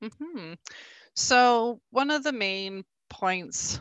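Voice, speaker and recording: This is a woman speaking with a Canadian accent. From rural Alberta, Canada. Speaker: bee inspector and researcher. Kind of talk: interview.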